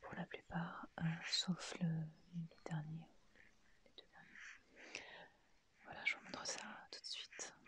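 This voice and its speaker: Whispering woman at a very slow pace, with long, frequent pauses and big swings in loudness. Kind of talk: ASMR haul, whispered and soft-spoken. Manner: hesitant, relaxed.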